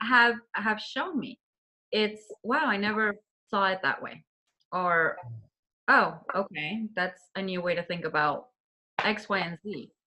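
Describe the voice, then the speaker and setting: A woman with a Colombian accent speaks at a medium pitch and a fairly slow pace. Her intonation is lively, with long, frequent pauses. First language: Spanish. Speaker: interviewer. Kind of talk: interview.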